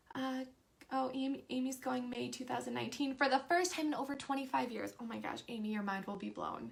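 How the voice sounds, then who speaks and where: A woman speaking at a fairly quick pace. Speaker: live stream host for theme park tips. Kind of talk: casual live stream chat reading viewer comments. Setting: Facebook live stream. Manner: fast when excited.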